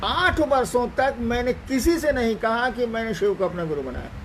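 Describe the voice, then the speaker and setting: Over noticeable background noise, a man speaks at an extremely high pitch with very wide pitch swings. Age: 70s. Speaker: spiritual teacher. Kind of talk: spiritual discourse. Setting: online live stream.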